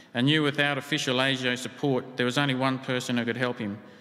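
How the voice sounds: The text is read in a natural voice. Its intonation is fairly even.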